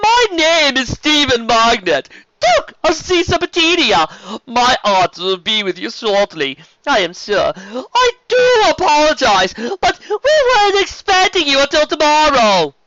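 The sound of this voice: Using a put-on character voice, a man speaks at a fairly slow pace with an extremely high pitch, a bright, sharp tone and very wide pitch swings. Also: dry, close sound with no echo.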